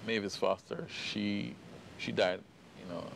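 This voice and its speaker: A man with a Jamaican accent speaks at a fairly slow pace. There is noticeable background noise. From Jamaica, Kingston. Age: 50s. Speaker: poet and playwright. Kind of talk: interview testimony.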